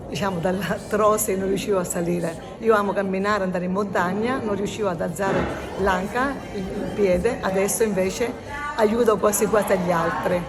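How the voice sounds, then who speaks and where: Amid crowd noise in the background and audible room echo, a woman speaks with fairly even intonation. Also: medium pitch for a woman, fairly quick pace. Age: 60s. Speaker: fitness class participant. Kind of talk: testimony.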